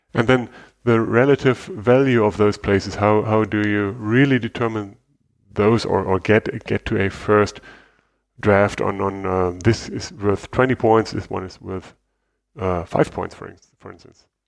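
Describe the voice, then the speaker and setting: In a German accent, a man with a fairly low pitch speaks at a moderate pace with fairly even intonation, big swings in loudness, and long, frequent pauses against a quiet background. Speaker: podcast host and interviewer. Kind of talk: interview; casual chat.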